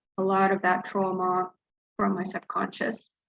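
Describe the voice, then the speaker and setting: This woman speaks with an Arabic accent. Her pace is fairly slow. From Dubai, Gulf region. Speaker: flash fiction writer and teacher. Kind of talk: interview. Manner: hesitant, many fillers.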